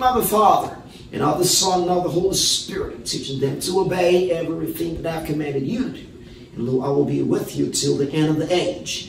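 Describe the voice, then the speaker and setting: Over light background noise and with audible room echo, a man talks at a moderate pace in a high pitch with ordinary pitch variation. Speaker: preacher, Bible teacher. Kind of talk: sermon.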